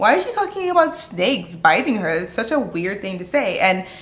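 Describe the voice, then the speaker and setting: Over noticeable background noise and audible room echo, a woman with an American accent talks at a fairly quick pace in a fairly high pitch. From United States. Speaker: vlogger. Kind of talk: casual vlog talk. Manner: conversational, animated.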